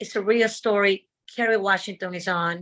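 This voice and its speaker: In a Dominican accent, a woman speaks at a moderate pace with medium pitch and ordinary pitch variation, on a very clean recording with a silent background. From Dominican Republic. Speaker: stunt woman and actress. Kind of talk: interview.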